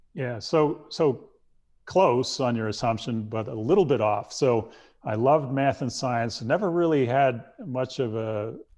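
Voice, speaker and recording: Against a quiet background, a man with a medium pitch speaks at a fairly slow pace with ordinary pitch variation. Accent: American. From New York. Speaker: former astronaut, naval aviator. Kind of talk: interview answer. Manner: soft-spoken.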